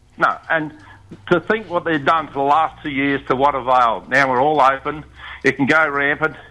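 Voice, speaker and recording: A man with an Australian accent, fairly high in pitch, with a bright, sharp tone, fairly even intonation and a moderate pace. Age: 70s. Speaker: caller. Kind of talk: casual chat. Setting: phone call.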